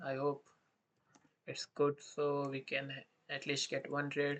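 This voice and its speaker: The speaker talks at a fairly slow pace with an Indian accent. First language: Hindi. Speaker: day trader streaming live trades. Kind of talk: live trading commentary. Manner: thinking aloud with hesitations; halting non-fluent English.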